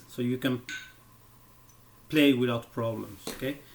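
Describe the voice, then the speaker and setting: The pace is on the slow side. A non-native accent comes through. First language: not English. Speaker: guitar teacher. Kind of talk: tutorial. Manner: halting.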